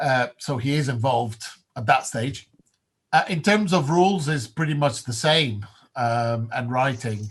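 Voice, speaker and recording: A man speaks at a fairly slow pace, his voice somewhat breathy and medium in pitch. His pitch variation is ordinary, and the recording is very clean with a silent background. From Italy. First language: Italian. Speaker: game designer. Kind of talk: casual chat. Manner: halting.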